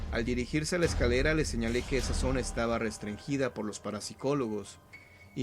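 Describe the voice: Lively intonation marks this plain reading aloud.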